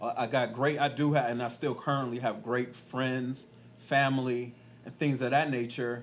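In a monotone, flat delivery, a man with an American accent speaks at a moderate pace and medium pitch. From Killeen, Texas. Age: 40s. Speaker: podcast host, life coach. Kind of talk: casual podcast conversation. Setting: on location in hometown.

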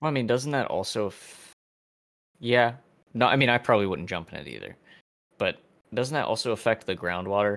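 A man's medium-pitched voice at a fairly quick pace, with ordinary pitch variation, long and frequent pauses, and big swings in loudness, in a very clean recording with a silent background. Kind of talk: casual chat.

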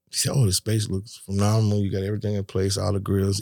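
A man's fairly low voice races along at a very fast speed, captured on a very clean recording with a silent background. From US South, West Palm Beach, Florida. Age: 60s. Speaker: barbecue restaurant owner. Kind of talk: testimony.

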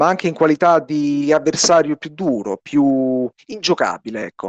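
The speaker talks at a fairly slow pace with lively intonation. The sound is dry and close, with no echo. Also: man. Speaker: radio host. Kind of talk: radio sports show.

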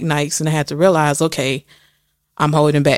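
Recorded very cleanly against a silent background, a woman speaks at a very deep, low pitch. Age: 20s. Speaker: podcast host, art student. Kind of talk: solo monologue.

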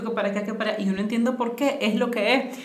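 Amid noticeable background noise and audible room echo, a woman talks very fast in a fairly high pitch. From Nicaragua, Managua. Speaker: financial educator. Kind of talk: casual interview conversation.

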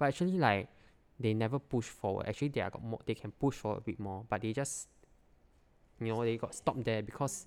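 In a Singaporean accent, a man speaks at a very fast pace with a medium pitch and ordinary pitch variation. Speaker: product designer. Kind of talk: casual chat.

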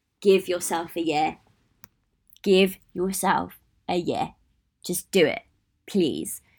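With a British accent, a woman at medium pitch speaks very slowly with fairly even intonation and long, frequent pauses. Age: 20s. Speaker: podcaster. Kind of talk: casual solo monologue. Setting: small room.

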